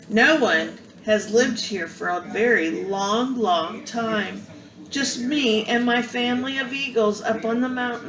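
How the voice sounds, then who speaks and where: Through clear background noise, a woman does a squeaky put-on character voice at a fairly high pitch and fairly slow pace. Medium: read story. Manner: warm, cheerful.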